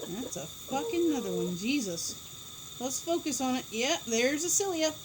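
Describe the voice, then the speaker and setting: A loud woman speaks at a moderate pace, high in pitch with very wide pitch swings. Background noise is noticeable. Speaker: pigeon keeper. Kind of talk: casual chat. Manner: animated.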